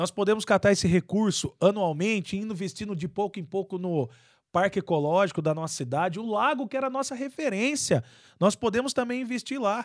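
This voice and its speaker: A man's high-pitched voice with lively intonation, on a very clean recording with a silent background. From Araras, São Paulo state, Brazil. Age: 30s. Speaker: city council president. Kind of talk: interview.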